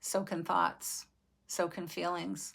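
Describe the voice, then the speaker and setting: Speaking at a fairly slow pace, a woman's voice carries vocal fry in a very clean recording with a silent background. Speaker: vlogger. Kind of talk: personal reflection. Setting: video recording.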